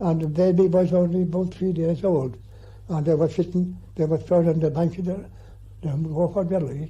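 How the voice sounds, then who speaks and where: A man speaks in a rural County Clare accent with a high pitch. His tone is dark and mellow, and his intonation fairly even. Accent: rural Clare Irish. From Ireland, County Clare. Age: 80s+. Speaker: farmer. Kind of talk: interview. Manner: halting.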